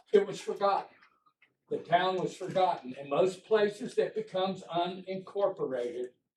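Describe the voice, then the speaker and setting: With an American accent, a man talks at a moderate pace in a high voice, with ordinary pitch variation and big swings in loudness. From US South. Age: 70s. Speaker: retired logger and veteran, public commenter. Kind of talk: public comment at town meeting. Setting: town council workshop.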